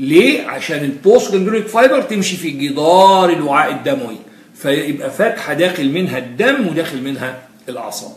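In a room with audible echo, a man with a high pitch talks at a moderate pace, his pitch swinging very widely. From Egypt. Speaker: physiology lecturer. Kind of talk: lecture. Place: classroom.

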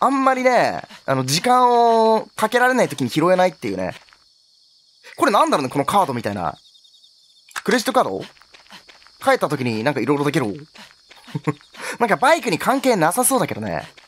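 Noticeable background noise sits behind a high-pitched man who talks at a fairly quick pace, with very wide pitch swings and long, frequent pauses. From Kansai, Japan. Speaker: game streamer. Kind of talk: gameplay commentary. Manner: loud, energetic.

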